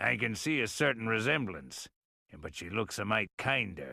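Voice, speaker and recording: A man puts on a raspy, drawling character voice at medium pitch. The recording is very clean, with a silent background. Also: moderate pace. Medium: video game. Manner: folksy drawl, easygoing.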